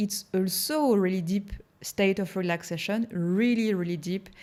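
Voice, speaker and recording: A woman with a French accent at a moderate pace. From France. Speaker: hypnotherapist. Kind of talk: interview.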